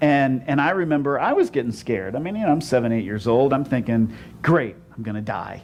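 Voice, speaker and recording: This man has a plain, everyday voice with a fairly high pitch. He talks at a fairly quick pace with lively intonation. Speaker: pastor. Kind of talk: sermon. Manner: conversational, many repeated 'and, and'.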